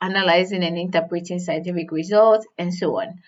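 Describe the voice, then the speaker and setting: This woman speaks with a non-native accent. Her background is quiet. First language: not English. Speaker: career advice youtuber. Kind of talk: tutorial. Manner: conversational with fillers.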